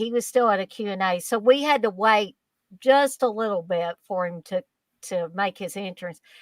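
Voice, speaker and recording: The sound is dry and close with no echo. A woman speaks in a Kentucky accent with lively intonation. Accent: Southern Kentucky. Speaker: horror fan guest. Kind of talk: casual chat, anecdote. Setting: live stream.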